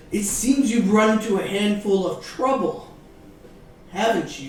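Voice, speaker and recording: A booming, put-on character voice at a fairly high pitch and moderate pace, with slight echo. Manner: knowing, wry.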